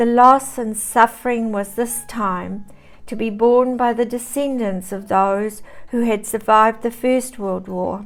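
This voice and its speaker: Someone with a New Zealand accent speaks fairly slowly with fairly even intonation. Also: woman, fairly high pitch for a woman. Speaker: storyteller. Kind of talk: reading aloud. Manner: formal.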